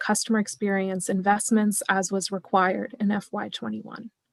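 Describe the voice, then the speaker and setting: A soft-spoken woman talks at a fairly quick pace in a medium pitch. The recording is very clean and dry, close with no echo and a silent background. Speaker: finance staff presenter. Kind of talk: budget presentation.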